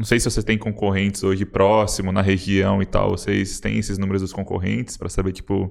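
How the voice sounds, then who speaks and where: With a fairly low pitch and vocal fry, a man talks at a fairly quick pace in a monotone, flat intonation with hardly any pauses. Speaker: podcast host. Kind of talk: casual interview chat.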